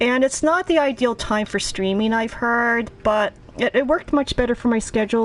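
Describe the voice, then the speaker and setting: Over noticeable background noise, a woman with an American accent speaks with lively intonation. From US Northeast (Boston, Northern Virginia, Philadelphia). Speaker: video game streamer. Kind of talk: casual live-stream commentary. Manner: conversational, with hesitations.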